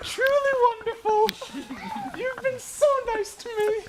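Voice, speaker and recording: A woman puts on a squeaky character voice pitched extremely high. She speaks at a fairly slow pace with fairly even intonation. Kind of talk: comic melodramatic period acting. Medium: stage play.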